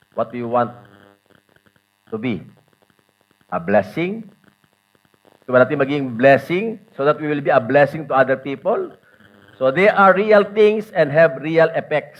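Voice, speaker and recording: Pausing long and often, a man with a fairly high pitch talks at a fairly slow pace, his pitch swinging very widely. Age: 60s. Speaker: pastor. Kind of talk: sermon. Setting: church.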